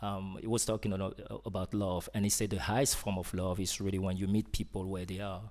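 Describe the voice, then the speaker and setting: A man's fairly low voice in a French accent, very fast and with monotone, flat intonation. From Cameroon, French-speaking side. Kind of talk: interview conversation. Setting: live event with audience. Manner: hesitant, many fillers.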